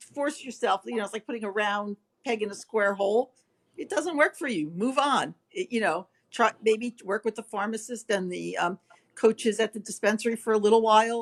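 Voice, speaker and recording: Recorded with a dry, close sound and no echo, a woman speaks in a plain, everyday voice at a fairly high pitch, with ordinary pitch variation and a moderate pace. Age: 60s. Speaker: facial pain patient sharing experience. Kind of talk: panel discussion on video call.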